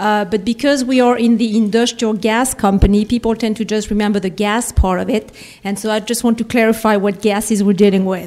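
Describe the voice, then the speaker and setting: A fairly high-pitched woman's voice with a French accent, monotone, flat intonation, a fairly quick pace and hardly any pauses. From France. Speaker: industrial company executive. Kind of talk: conference speech. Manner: halting, many fillers.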